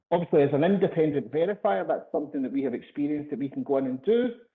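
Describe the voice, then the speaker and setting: Lively intonation and fairly high pitch mark this man with a Glasgow accent. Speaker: sales executive presenting a webinar. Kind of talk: webinar presentation. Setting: online webinar. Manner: hesitant, many fillers and repetitions.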